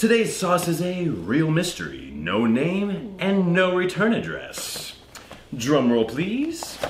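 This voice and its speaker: A high-pitched man's voice at a fairly slow pace, with clear background noise. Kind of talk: online video host patter. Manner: loud, hyped, surfer-bro slang, boastful.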